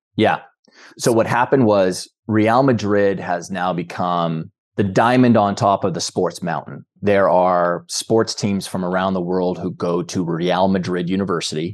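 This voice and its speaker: A man with a very deep, low pitch speaks at a fairly slow pace. His intonation stays fairly even against a quiet background. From rural Canada. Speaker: peak performance coach and business founder. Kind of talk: interview conversation.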